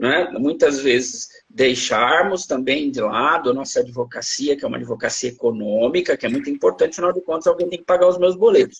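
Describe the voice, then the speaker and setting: This man speaks at a fairly quick pace with hardly any pauses. His fairly high voice makes very wide pitch swings. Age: 60s. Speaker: law professor. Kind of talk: interview. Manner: halting, repeats words.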